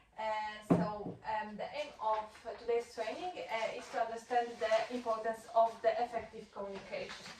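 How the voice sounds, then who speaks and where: Fairly high-pitched woman's voice in a Polish accent, ordinary pitch variation, a moderate pace and noticeable background noise. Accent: Polish accent with French-sounding R. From Poland. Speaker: workplace trainer. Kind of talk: training session. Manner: halting, many fillers.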